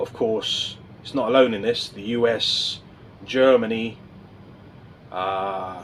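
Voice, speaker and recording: Noticeable background noise sits under a man's medium-pitched voice with fairly even intonation. He talks at a very slow pace with long, frequent pauses. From England. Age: 50s. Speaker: political vlogger. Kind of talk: casual monologue to camera. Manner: hesitant, with fillers and restarts.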